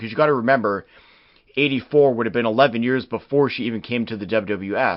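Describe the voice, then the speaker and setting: With a Canadian accent, a man talks at a fairly quick pace in an unremarkable speaking voice, medium in pitch with ordinary pitch variation. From Canada. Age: 30s. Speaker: wrestling history podcast host. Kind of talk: podcast narration reading quotes and articles.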